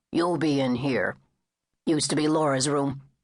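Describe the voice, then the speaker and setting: A raspy, put-on character voice with a low-to-middle pitch delivers the lines at a moderate pace. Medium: read story. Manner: terse, laconic.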